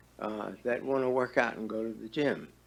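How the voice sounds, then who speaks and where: A man speaks at a moderate pace with a medium pitch and ordinary pitch variation. Room echo is audible. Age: 80s+. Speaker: retiree, public commenter. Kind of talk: public comment at council meeting. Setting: town board meeting. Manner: halting, many fillers.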